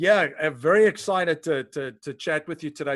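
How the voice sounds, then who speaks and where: A man is speaking. The background is quiet. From South Africa. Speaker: podcast host. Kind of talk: interview.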